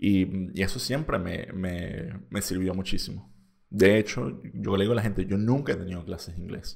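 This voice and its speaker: A man speaks with a Venezuelan accent. His intonation is lively. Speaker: podcaster. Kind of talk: casual monologue. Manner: halting, many repetitions.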